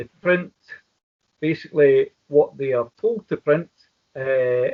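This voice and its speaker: A man's fairly high voice in a Glaswegian accent, very slow, with ordinary pitch variation. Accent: Glaswegian Scottish. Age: 60s. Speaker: independence activist. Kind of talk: interview.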